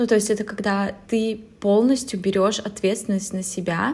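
Here a woman speaks in an ordinary speaking voice at a medium pitch. Her pace is fairly slow and her intonation fairly even. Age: 20s. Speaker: podcast co-host. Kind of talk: casual chat.

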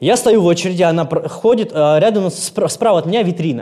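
Lively intonation marks this man's high, dark, mellow voice. He keeps a moderate pace. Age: 30s. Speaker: actor. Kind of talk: casual chat.

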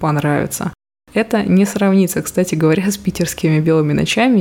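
At a fairly quick pace, a woman speaks with a fairly low pitch, ordinary pitch variation and a dark, mellow tone. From Russia, Murmansk. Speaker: podcast host, personal brand mentor. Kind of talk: unscripted solo monologue.

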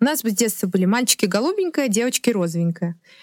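Speaking at a very fast pace, a woman with a fairly high pitch and lively intonation is heard in a very clean recording with a silent background and a dry, close sound with no echo. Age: 30s. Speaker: stylist. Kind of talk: podcast interview. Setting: studio.

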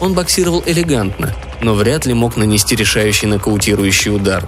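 A man with lively intonation at a moderate pace, music in the background. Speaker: audiobook narrator. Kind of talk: literary audiobook reading, narrating a satirical story and voicing dialogue.

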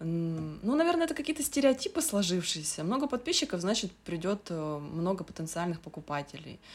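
A woman talks at a moderate pace. She hardly pauses at all. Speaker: sewing blogger. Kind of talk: casual chat.

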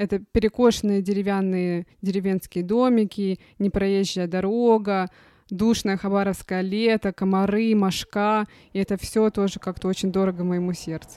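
In a dry, close recording with no echo that is very clean with a silent background, a woman speaks at a moderate pace and medium pitch with a dark, mellow tone and monotone, flat intonation. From Russian Far East, Khabarovsk. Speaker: podcast host. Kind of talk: casual chat.

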